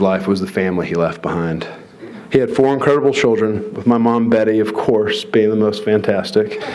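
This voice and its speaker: Over noticeable background noise and audible room echo, a man at medium pitch speaks at a very fast pace with lively intonation. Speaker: professional golfer. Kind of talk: award induction speech. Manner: mumbling.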